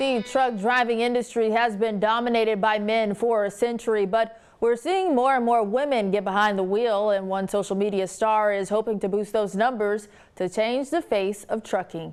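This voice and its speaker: Using a normal speaking voice, a woman with an American accent talks at a moderate pace with hardly any pauses. Her pitch is fairly high, her intonation fairly even and her loudness very even. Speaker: television news anchor. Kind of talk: TV news anchor broadcast delivery.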